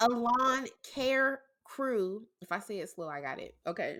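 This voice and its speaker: On a very clean recording with a silent background, a woman with a St. Louis accent speaks very slowly in a bright, sharp tone with lively intonation. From St. Louis, Missouri. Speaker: podcast host. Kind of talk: casual chat.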